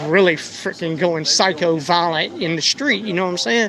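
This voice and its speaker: Noticeable background noise sits behind a man's voice. He talks at a moderate pace with lively intonation. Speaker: citizen journalist. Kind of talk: heated debate. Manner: loud.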